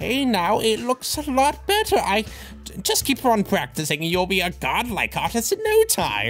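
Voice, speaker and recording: Someone speaks at a moderate pace in a put-on character voice. Clear music plays in the background. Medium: dub.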